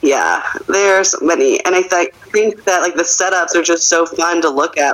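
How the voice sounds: In a fairly bright tone, a woman speaks at a moderate pace with fairly even intonation.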